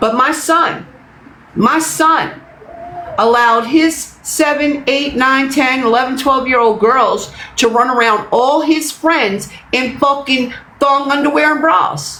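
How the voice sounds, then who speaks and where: A woman's raised, projected voice sits high in pitch, with ordinary variation and very even loudness at a very slow pace. Background noise is noticeable, and room echo can be heard. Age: 60s. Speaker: livestreamer. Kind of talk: livestream rant. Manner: emphatic, repetitive.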